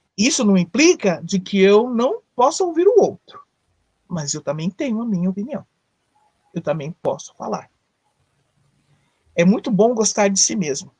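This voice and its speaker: A woman speaks at a fairly slow pace, her pitch swinging very widely. Her tone is dark and mellow, somewhat breathy, with a dry, close sound free of echo and long, frequent pauses. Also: medium pitch for a woman. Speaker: psychologist. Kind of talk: live talk on psychology. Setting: online live stream. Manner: conversational, with fillers and self-corrections.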